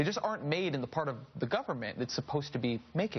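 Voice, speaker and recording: Speaking at a fairly quick pace, a man uses lively intonation in a somewhat breathy voice. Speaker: cable news host. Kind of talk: news talk segment. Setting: studio. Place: studio.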